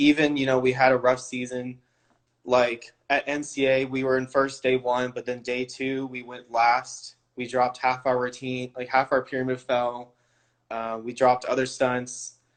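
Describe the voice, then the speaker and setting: A man with a West Coast US accent speaks with monotone, flat intonation. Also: medium pitch for a man, moderate pace. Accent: General American (West Coast). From California. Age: 20s. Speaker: all-star cheerleader. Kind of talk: interview answers. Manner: casual, filler-heavy.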